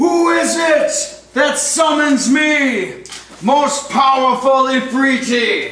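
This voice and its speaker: A man puts on a character voice at an extremely high pitch, speaking very slowly with a slight echo. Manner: screeching, yelling.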